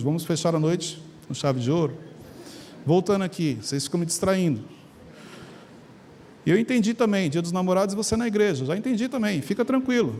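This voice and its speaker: A man with a high pitch and a dark, mellow tone speaks with lively intonation and long, frequent pauses. Audible room echo surrounds his voice. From Brazil, São Paulo area (Carapicuíba). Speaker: preacher. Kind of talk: sermon. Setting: church with congregation. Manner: animated.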